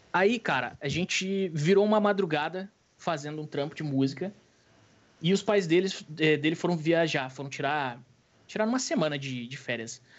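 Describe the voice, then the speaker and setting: Using a normal speaking voice, this man talks fairly high with lively intonation and a middling tempo. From Rio Grande do Sul, Brazil. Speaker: streamer. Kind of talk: casual chat.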